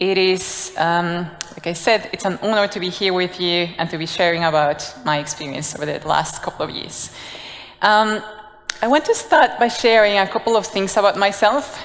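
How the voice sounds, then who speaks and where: Over noticeable background noise, a woman of medium pitch talks at a moderate pace with ordinary pitch variation. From Guatemala. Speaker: design leader. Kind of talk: conference talk. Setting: stage with audience.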